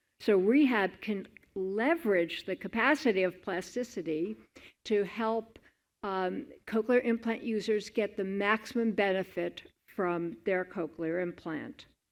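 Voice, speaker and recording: A woman with an ordinary speaking voice, medium pitch, ordinary pitch variation and a fairly slow pace, in a very clean recording with a silent background. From New York. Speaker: clinician and researcher. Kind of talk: conference presentation.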